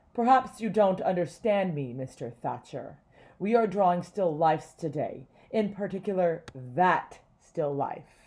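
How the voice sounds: Someone does a gruff, put-on character voice at a middle pitch. The pace is fairly slow and the background quiet.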